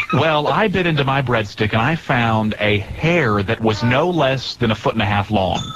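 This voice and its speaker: Over noticeable background noise, a man speaks at medium pitch with lively intonation and very even loudness. His pace is moderate, with hardly any pauses. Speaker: radio show hosts. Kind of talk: casual radio banter. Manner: conversational, joking.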